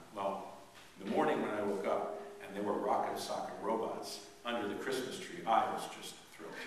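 A man's very fast speech amid strong room echo and noticeable background noise. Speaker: priest. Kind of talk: sermon. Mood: warm, humorous. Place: church. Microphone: camera far.

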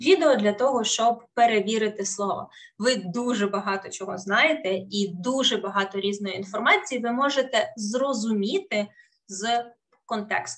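With a Russian accent, a woman speaks at a moderate pace in a fairly high pitch with ordinary variation, against a quiet background. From Ukraine, Kherson; Ukraine. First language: Russian (speaking Ukrainian). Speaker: English teacher. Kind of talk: webinar lecture. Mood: warm, encouraging. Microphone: webcam.

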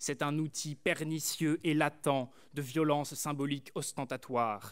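This man's pitch sits fairly high and his intonation stays fairly even. He talks at a very slow pace. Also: quiet background. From France, rural Burgundy. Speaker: student orator. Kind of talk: eloquence contest speech. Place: hall. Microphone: podium.

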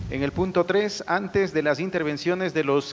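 The voice has ordinary pitch variation, with light background noise behind it. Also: man. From Ecuador. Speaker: journalist, debate moderator. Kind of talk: formal debate moderation. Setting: stage in a theatre. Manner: hesitant, many fillers. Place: stage. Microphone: handheld.

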